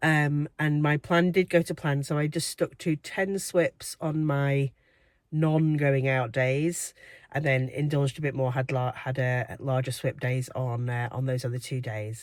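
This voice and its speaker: The speaker has an English accent and a fairly slow pace. The recording is very clean, with a silent background. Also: woman, very deep, low pitch for a woman, fairly even intonation. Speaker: weight loss vlogger. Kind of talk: casual vlog. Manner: hesitant with fillers.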